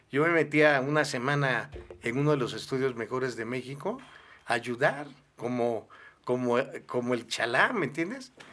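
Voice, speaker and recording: With a bright, sharp tone, a man speaks at a medium pitch and a moderate pace. His intonation is fairly even, broken by long, frequent pauses. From southern Mexico, Villahermosa, Tabasco. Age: 60s. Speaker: pastor and musician. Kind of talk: interview.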